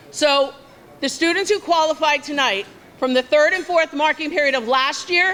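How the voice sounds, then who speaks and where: A woman's raised, projected voice, high in pitch, at a fairly quick pace with ordinary pitch variation. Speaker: school vice principal. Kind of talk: ceremony welcome speech. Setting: banquet hall with large audience. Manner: loud.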